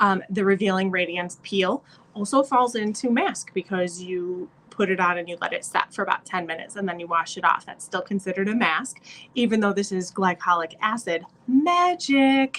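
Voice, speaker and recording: A woman with a plain, everyday voice, medium in pitch with ordinary pitch variation, at a moderate pace. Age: 40s. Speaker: beauty consultant vlogger. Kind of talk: tutorial. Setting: hotel room. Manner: casual with filler words.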